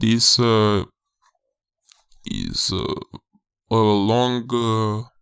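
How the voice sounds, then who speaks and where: In a Romanian accent, a man speaks with monotone, flat intonation. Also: medium pitch for a man. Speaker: game developer. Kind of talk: tutorial. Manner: halting, many fillers.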